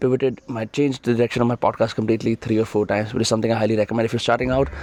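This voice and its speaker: A man speaks at a medium pitch. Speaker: podcast host. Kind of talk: casual Q&A monologue. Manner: hesitant, many fillers.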